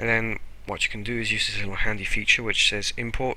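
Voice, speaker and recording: Background noise is noticeable throughout. A man does the talking. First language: French. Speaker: animation tutorial youtuber. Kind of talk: screen-recorded tutorial. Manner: casual, hesitant with fillers.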